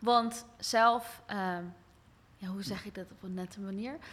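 A woman's fairly high-pitched voice with a bright, sharp tone. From Rotterdam, Netherlands, partly abroad. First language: bilingual Dutch and English (speaking Dutch). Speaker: podcast host. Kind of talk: casual interview.

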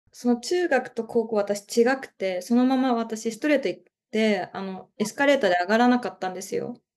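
A woman with an ordinary speaking voice, a fairly quick pace, and ordinary pitch variation. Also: fairly high pitch for a woman, big swings in loudness. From Japan, Chiba. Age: 20s. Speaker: art student. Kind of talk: casual chat.

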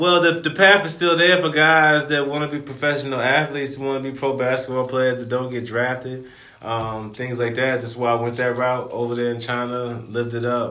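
There is noticeable background noise and audible room echo as a man speaks at a medium pitch and moderate pace with ordinary pitch variation and hardly any pauses. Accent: American. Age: 30s. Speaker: podcast co-host, recreational basketball player. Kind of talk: casual chat.

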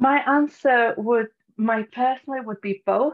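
Here a woman speaks in a North Welsh accent. Her pace is fairly slow. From North Wales. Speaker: social media manager, Facebook group expert. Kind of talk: interview.

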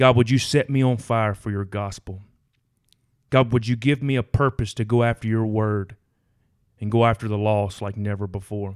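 A man with a Southern US accent talks at a moderate pace and fairly low pitch, leaving long, frequent pauses. The very clean recording has a silent background and a dry, close sound with no echo. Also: fairly even intonation. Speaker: firefighter. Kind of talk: testimony.

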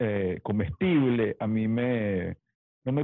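A man's plain, everyday voice, medium in pitch, with ordinary pitch variation. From Mérida, Venezuela. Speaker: DJ and podcast co-host. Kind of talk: casual chat.

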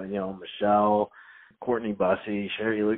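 A man's ordinary speaking voice, fairly low in pitch, with an American accent, a moderate pace and fairly even intonation. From North Carolina, later Indiana. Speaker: former high school swimmer. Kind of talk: casual chat. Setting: phone call.

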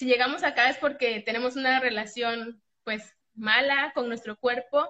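Speaking in a Mexican accent at a moderate pace, a woman has a high, bright, sharp tone and fairly even intonation. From Mexico. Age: 30s. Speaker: eating disorder recovery client. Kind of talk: testimony.

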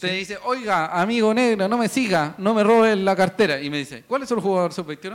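A man with a Chilean accent talks at a fairly quick pace and high pitch in an animated tone, with lively intonation and hardly any pauses. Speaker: football podcast host. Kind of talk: casual chat. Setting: studio.

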